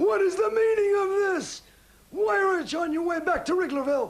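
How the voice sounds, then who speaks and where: In a cartoonish character voice, a man talks at a fairly quick pace. His pitch is extremely high. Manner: fussy, excitable.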